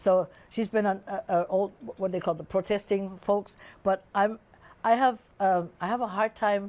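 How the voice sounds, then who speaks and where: A woman speaks with a German accent at a moderate pace, her medium-pitched voice keeping a fairly even intonation. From Germany. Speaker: musician. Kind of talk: casual chat. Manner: halting.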